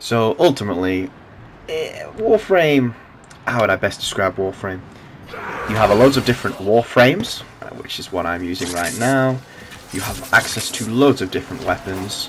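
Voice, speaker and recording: A man's medium-pitched voice at a moderate pace, with big swings in loudness and noticeable background noise. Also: lively intonation. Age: 20s. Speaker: gaming youtuber. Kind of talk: gameplay commentary. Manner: casual with filler words.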